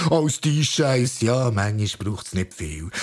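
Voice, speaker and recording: The speech moves at a moderate pace with lively intonation. Noticeable background noise sits behind it. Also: man. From Switzerland, Bern area (Zollikofen). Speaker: spoken word performer. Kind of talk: spoken word performance. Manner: animated.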